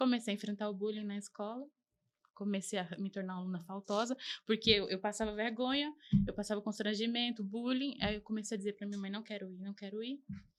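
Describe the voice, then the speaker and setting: A woman with a fairly high pitch and fairly even intonation, at a fairly quick pace. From Arapiraca, Alagoas, Brazil (born São Paulo). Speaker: podcast guest sharing life story. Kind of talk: interview testimony.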